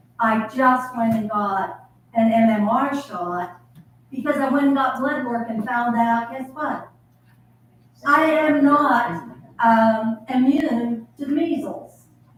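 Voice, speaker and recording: With audible room echo, a woman speaks very slowly at a high pitch. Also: ordinary pitch variation. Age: 70s. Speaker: retired teacher, audience member. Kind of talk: audience question at town hall. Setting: community town hall with audience.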